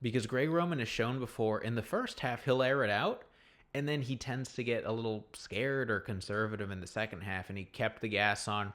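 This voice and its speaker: A man with an American accent speaks in an animated tone at a moderate pace, with ordinary pitch variation. The recording is very clean, with a silent background. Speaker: sports fan YouTuber. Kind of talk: casual fan reaction commentary.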